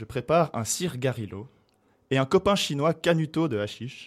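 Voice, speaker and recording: In a very clean recording with a silent background, a man speaks at a medium pitch with lively intonation. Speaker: radio host. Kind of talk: casual chat.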